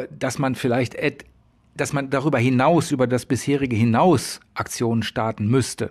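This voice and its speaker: Against a quiet background, a man is talking. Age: middle-aged. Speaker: podcast moderator. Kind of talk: moderated debate.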